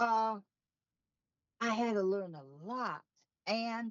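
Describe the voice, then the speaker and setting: A woman talks at a very slow pace. Her pitch sits fairly high. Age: 60s. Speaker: podcast co-host, aortic survivor. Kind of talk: personal testimony.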